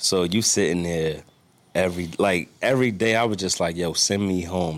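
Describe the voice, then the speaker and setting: Heard in a very clean recording with a silent background, a man with an American accent speaks in a very deep, low voice. His pace is moderate and his intonation fairly even. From New York. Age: 30s. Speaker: chef and restaurant owner. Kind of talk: casual chat.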